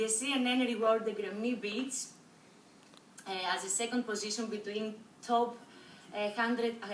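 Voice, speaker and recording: A woman with a Greek accent speaks with ordinary pitch variation over noticeable background noise and audible room echo. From Greece. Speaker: university student. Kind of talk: class presentation. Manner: halting, many fillers.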